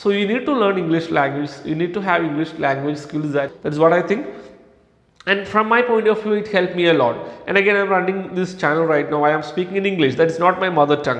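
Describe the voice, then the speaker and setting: A man with a Kerala accent talks at a very fast pace, his high pitch showing ordinary variation. Noticeable background noise and audible room echo fill the recording. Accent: Indian English (Kerala). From India, Kerala. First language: Malayalam. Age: 30s. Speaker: English language trainer, YouTuber. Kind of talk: motivational talk.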